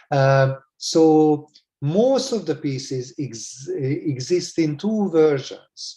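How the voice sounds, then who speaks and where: At a very slow pace, a man with a fairly high pitch and a dark, mellow, somewhat breathy tone talks with lively intonation. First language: Hungarian. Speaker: music educator. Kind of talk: lecture. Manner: halting, many fillers; formal.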